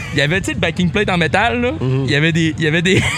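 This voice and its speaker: With music in the background, a man with a fairly high pitch talks at a very fast pace. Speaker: car and motorcycle enthusiast. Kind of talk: casual chat. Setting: makeshift studio at a car show.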